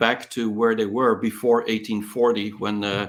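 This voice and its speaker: On a very clean recording against a silent background, a man's speech moves at a moderate tempo. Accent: non-native. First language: not English. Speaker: tech entrepreneur and author. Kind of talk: interview. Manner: hesitant, with fillers.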